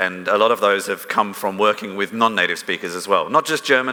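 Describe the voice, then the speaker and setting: Noticeable background noise runs under the recording. A man speaks with ordinary pitch variation. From London, then long in Melbourne, Australia. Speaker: technical writer. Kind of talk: conference talk. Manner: casual, filler-heavy.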